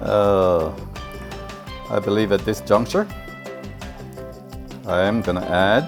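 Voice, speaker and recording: Over music in the background, a man speaks very slowly at a fairly low pitch with lively intonation and long, frequent pauses. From Jamaica. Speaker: home cook. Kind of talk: casual cooking talk to camera. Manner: friendly, chatty.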